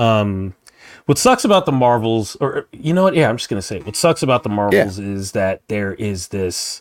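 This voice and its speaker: The sound is dry and close with no echo as a man speaks at a moderate pace in a normal speaking voice. His pitch is medium and his intonation lively. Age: 40s. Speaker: podcast co-host. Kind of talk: casual chat.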